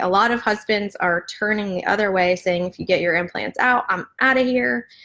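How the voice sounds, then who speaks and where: A woman with a plain, everyday voice talks at a moderate pace. Her pitch is medium, with ordinary variation. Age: 30s. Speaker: patient sharing health story. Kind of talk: casual live video talk to viewers.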